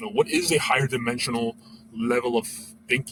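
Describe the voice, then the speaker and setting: With a non-native accent and lively intonation, a man talks at a fairly quick pace over noticeable background noise. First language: not English. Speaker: former educator, vlogger. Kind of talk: casual monologue. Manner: halting, many fillers.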